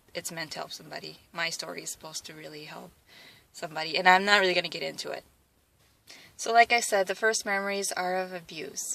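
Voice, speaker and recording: Talking at a very fast pace with a Wisconsin accent, a woman at medium pitch has a bright, sharp tone, fairly even intonation and big swings in loudness. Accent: Midwestern Wisconsin. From Wisconsin, US Midwest (from age 8; born South Korea). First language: Korean. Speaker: athlete vlogger. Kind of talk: personal testimony vlog. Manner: hesitant, many fillers.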